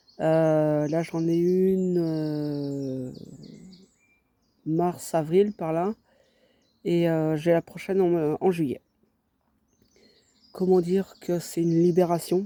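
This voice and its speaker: This man's voice is high-pitched yet dark and mellow, with fairly even intonation. The recording is very clean and dry, close, with a silent background and no echo. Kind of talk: personal vlog monologue. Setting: outdoors. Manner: halting, many hesitations.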